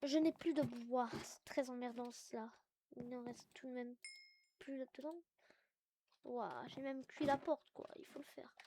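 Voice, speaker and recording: The voice has a dark, mellow tone and fairly even intonation, moving at a fairly slow pace with long, frequent pauses and big swings in loudness, in a dry, close sound with no echo. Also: woman, high pitch for a woman. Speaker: gaming youtuber. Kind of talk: let's play commentary.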